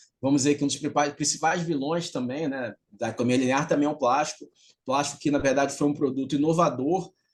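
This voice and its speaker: This man speaks at a very fast pace. His intonation stays fairly even. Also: fairly high pitch for a man. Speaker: CEO and author giving a talk on circular economy. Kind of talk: remote lecture. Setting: video call. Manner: nonstop talking.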